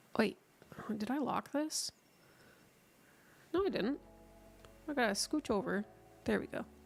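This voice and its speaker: With music playing behind her, a woman speaks at a moderate pace in a fairly high voice, leaving long, frequent pauses. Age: adult. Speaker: streamer and artist. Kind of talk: casual live-stream chat while drawing.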